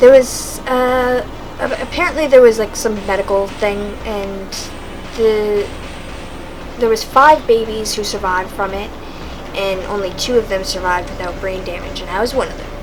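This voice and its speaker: A quiet woman's voice, fairly high in pitch with ordinary pitch variation, at a moderate pace with long, frequent pauses, plus audible room echo and noticeable background noise. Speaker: vlogger. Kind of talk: casual monologue. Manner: quiet talker; halting.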